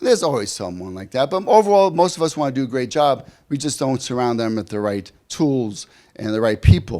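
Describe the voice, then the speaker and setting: A man with a New York accent, animated in tone, at a very fast pace with very wide pitch swings, on a very clean recording with a silent background. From US Northeast, New York City. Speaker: leadership coach. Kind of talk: keynote speech. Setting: conference stage with audience.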